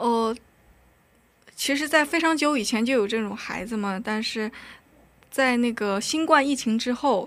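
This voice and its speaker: The speech moves at a fairly slow pace with long, frequent pauses. Pitch variation is ordinary. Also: woman, high pitch for a woman. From North Korea, raised in China. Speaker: university student. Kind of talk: casual interview. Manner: nervous, halting.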